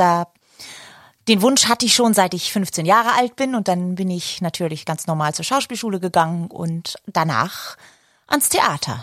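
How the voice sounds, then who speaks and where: Using lively intonation, a woman with an unremarkable speaking voice talks at medium pitch. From northern Germany, Baltic coast (Glücksburg). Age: 40s. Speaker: podcast co-host, actress. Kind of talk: casual chat.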